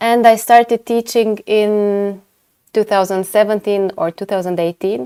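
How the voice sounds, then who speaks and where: In a Romanian accent, a woman with a dark, mellow tone and medium pitch speaks at a fairly slow pace, the sound dry and close with no echo. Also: fairly even intonation. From Romania, Timișoara (western). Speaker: orthodontist and lecturer. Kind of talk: webinar lecture. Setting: online webinar. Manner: hesitant, many fillers.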